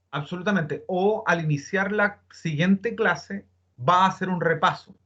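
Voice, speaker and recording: A man projects a raised, high-pitched voice with a bright, sharp tone. His pitch variation is ordinary. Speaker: teacher. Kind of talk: online class. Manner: fast.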